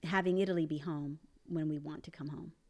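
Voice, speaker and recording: A woman with a Spanish accent speaks at a very deep, low pitch in a very clean recording with a silent background. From Panama and Puerto Rico. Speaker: expat parent and business owner. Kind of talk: casual interview.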